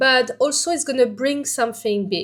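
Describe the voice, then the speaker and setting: A woman speaks at a high pitch. Her voice makes very wide pitch swings. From France. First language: French. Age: 40s. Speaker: vlogger. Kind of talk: personal vlog talk to camera. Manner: animated; halting.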